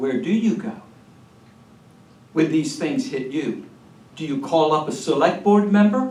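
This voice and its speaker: A man with a high pitch talks at a fairly slow pace, his pitch swinging very widely. He leaves long, frequent pauses, and the room echo is audible. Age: 70s. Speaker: retired pastor. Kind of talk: speech to a political meeting. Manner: animated.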